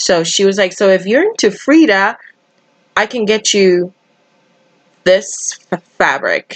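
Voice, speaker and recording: Speaking very slowly in a Spanish accent, this voice takes long, frequent pauses and shows ordinary pitch variation. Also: woman, medium pitch for a woman. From Dominican Republic. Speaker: cross-stitch YouTuber. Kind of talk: live stream chat while stitching. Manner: casual, chatty.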